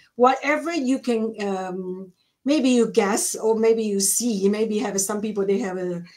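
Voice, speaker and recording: A woman's fairly high voice with ordinary pitch variation at a fairly slow pace, with audible room echo. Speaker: co-host of a self-improvement live stream. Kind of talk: casual chat. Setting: online live stream. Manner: halting.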